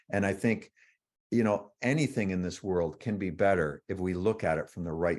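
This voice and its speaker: A man's very deep, low voice with a Canadian accent, moderate in pace with ordinary pitch variation, over a quiet background. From Canada. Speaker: author. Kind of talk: interview. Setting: livestream.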